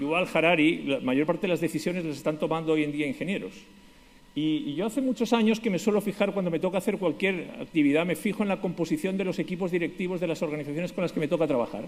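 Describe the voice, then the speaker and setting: A man's high voice with a Spanish accent, at a very fast pace. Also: ordinary pitch variation. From Spain, Basque Country (San Sebastián). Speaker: conference speaker, lawyer. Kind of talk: conference talk.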